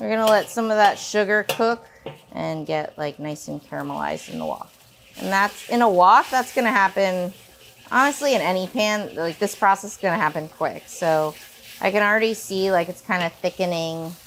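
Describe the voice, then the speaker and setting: A woman at a medium pitch is heard with noticeable background noise. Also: ordinary pitch variation, moderate pace. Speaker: cooking video host. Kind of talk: cooking tutorial. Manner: casual, filler-heavy.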